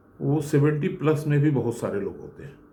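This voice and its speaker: Heard with audible room echo, a man's voice is somewhat breathy with a dark, mellow tone. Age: 70s. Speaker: retired engineer. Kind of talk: motivational talk.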